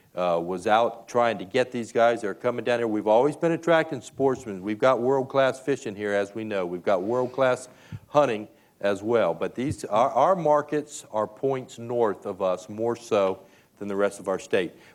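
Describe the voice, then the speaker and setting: A man with an unremarkable speaking voice, medium in pitch, at a fairly slow pace. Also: ordinary pitch variation. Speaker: festival storytelling session host/moderator. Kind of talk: moderator interview in front of an audience.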